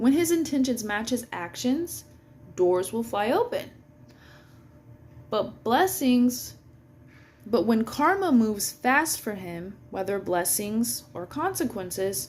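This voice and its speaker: A woman speaks at a fairly high pitch with very wide pitch swings. Her speech has long, frequent pauses. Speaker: astrology and energy reader. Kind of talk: casual astrology reading monologue. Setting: at work. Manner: hesitant, many fillers.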